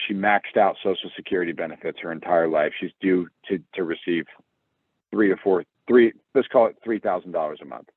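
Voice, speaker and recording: A man talks at a fairly quick pace with an American accent, his pitch fairly low. He has a plain, everyday voice with ordinary pitch variation. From US Midwest, Cincinnati, Ohio. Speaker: financial presenter. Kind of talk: webinar presentation. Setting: online video webinar. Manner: conversational, lively.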